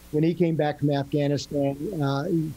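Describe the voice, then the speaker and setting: A man's fairly high, somewhat breathy voice with a dark, mellow tone, monotone, flat intonation, and a moderate pace. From New England. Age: 60s. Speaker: retired Marine and real estate professional. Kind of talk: podcast interview. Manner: halting.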